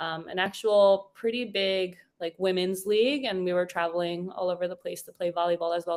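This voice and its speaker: She has an unremarkable speaking voice, a woman with an American accent and medium pitch. Her pace is fairly quick and her pitch variation ordinary. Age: 40s. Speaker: podcast guest. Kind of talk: casual chat.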